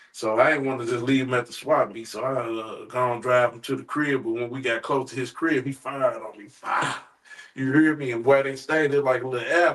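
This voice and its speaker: A man's medium-pitched voice in an American accent, fairly quick, with big swings in loudness and noticeable background noise. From St. Louis, Missouri (north side). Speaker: rapper and former gang member. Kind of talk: interview storytelling. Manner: animated.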